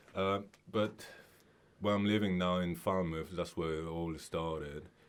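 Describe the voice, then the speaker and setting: Very deep and low, a man's voice carries a Mauritian accent. He talks at a fairly slow pace with fairly even intonation. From Mauritius. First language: Mauritian Creole. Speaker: singer-songwriter. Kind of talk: radio interview. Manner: halting.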